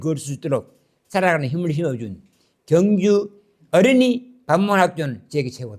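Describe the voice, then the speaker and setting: A man with a high pitch talks at a moderate pace, his voice moving in very wide pitch swings. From Korea, Gyeongju. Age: 80s+. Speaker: lecturer. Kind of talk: lecture.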